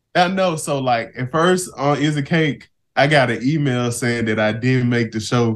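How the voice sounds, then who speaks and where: Medium pitch from a man, with ordinary pitch variation and a moderate pace. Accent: Mississippi. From US South, Mississippi Delta. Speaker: cake baker, baking show contestant. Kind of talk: casual interview.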